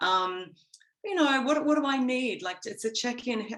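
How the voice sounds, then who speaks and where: At a fairly slow pace, a woman talks with an Australian accent. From Australia, Gold Coast. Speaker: interview guest. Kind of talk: podcast interview.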